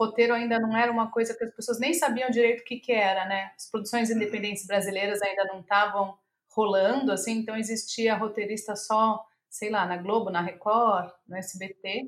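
A normal speaking voice, a woman's, fairly high in pitch, at a moderate pace with fairly even intonation. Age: 40s. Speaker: screenwriter and playwright. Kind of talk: interview conversation.

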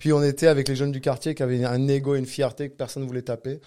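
A man at a very fast pace, medium-pitched, with a dark, mellow tone and monotone, flat intonation, in a very clean recording with a silent background. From southern France, Cannes. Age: 40s. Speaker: jiu-jitsu coach and federation director. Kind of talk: casual interview.

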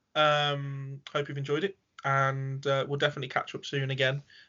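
This man has an English accent. He talks at a medium pitch. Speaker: podcast host and paranormal investigator. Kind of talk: casual chat. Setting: home studio.

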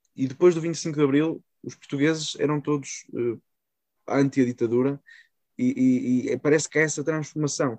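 Recorded dry and close with no echo, a man with a fairly high pitch uses an unremarkable speaking voice, fairly even intonation and a moderate pace. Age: young. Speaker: podcast host. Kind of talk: interview.

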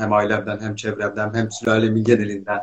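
Somewhat breathy, a man rushes along at a very fast pace. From eastern Turkey. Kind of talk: casual chat. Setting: video call.

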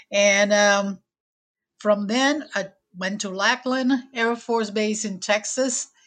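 Over a quiet background, a woman with a Puerto Rican accent talks at a fairly high pitch and a very slow pace, with fairly even intonation and long, frequent pauses. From Puerto Rico. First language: Spanish. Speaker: air force veteran and local historian. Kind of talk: podcast interview.

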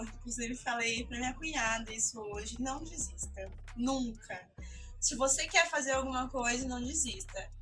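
Background music plays throughout. A woman talks fairly slowly. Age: 20s. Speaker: journalist and content creator. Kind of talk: casual interview chat.

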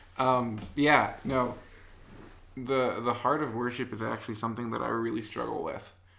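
A medium-pitched man with an American accent, monotone and flat, at a moderate pace over noticeable background noise. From US Midwest, Illinois. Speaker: app developer and worship leader. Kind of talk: casual chat. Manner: quiet, not talkative.

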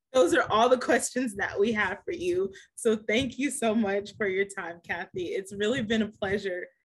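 A woman's somewhat breathy, fairly high voice at a moderate pace, with ordinary pitch variation and hardly any pauses. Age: 20s. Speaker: podcast host. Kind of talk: casual interview.

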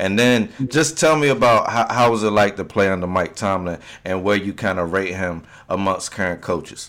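A man with a plain, everyday voice and an American accent, fairly low in pitch, at a moderate pace with ordinary pitch variation. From Virginia, Hampton Roads area. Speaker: podcast co-host. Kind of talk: casual chat.

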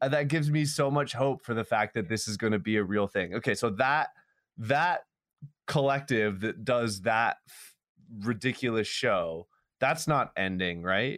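In a very clean recording with a silent background, a man with an ordinary speaking voice talks at medium pitch and a moderate pace, his intonation lively. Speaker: podcast co-host. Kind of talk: casual podcast chat.

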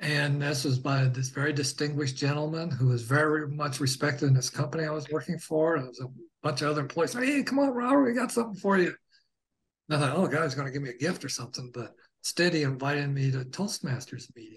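Somewhat breathy, a man speaks at a very fast pace. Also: fairly high pitch for a man, ordinary pitch variation. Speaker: guest sharing personal experiences. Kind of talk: casual interview, personal storytelling.

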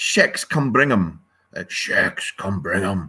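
A man puts on a gruff character voice at a medium pitch. He speaks at a very slow pace. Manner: eerie.

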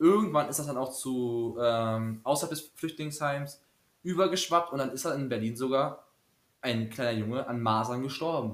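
A man with a plain, everyday voice talks at a medium pitch. His pace is moderate and his pitch varies in an ordinary way. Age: 20s. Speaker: student teacher podcaster. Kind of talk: casual chat.

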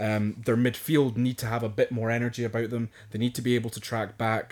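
A man speaks with monotone, flat intonation. The recording is very clean, with a silent background. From Scotland. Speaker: podcast co-host. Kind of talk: casual chat about football.

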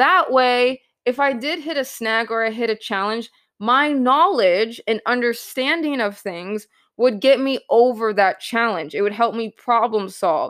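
On a very clean recording with a silent background, a woman speaks at a fairly slow pace. Her fairly high voice has lively intonation. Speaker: podcast host and real estate entrepreneur. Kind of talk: pep talk. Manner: earnest, emphatic, motivational; excited, upbeat.

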